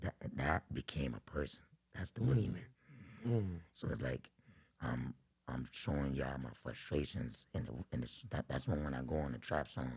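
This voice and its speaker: With a New York accent and vocal fry, a man with a very deep, low pitch speaks at a moderate pace, using ordinary pitch variation and long, frequent pauses. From Brooklyn, New York. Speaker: rapper. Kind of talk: interview answer. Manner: casual.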